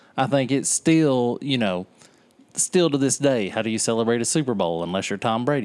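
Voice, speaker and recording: In a very clean recording with a silent background, a man talks fairly quickly at a medium pitch with lively intonation. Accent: Southern US. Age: 40s. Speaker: podcast co-host. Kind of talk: casual chat. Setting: back porch, outdoors.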